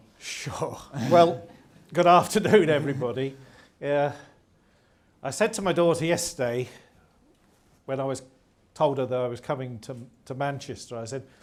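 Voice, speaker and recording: Audible room echo follows a man with a fairly high pitch as he speaks with long, frequent pauses. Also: ordinary pitch variation, moderate pace. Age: 60s. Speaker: former subpostmaster. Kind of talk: testimony. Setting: stage with audience.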